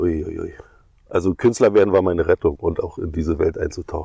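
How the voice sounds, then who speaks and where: A man talks at a very fast pace. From East Germany and Ghana. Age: 60s. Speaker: stage artist and clown. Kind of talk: casual chat. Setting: outdoors on a meadow.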